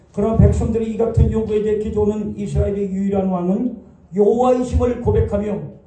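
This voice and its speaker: Room echo is audible here. The man's delivery is fairly quick. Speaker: pastor. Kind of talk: sermon.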